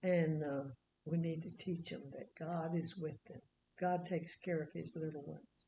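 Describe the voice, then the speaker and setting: At a moderate pace, a woman speaks with fairly even intonation, a somewhat breathy, dark, mellow tone and fairly low pitch. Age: 90s. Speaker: Bible teacher. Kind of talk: casual chat. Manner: halting.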